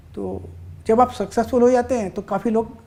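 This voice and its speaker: The man's voice carries a dark, mellow tone. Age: 60s. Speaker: stock trader. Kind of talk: podcast interview.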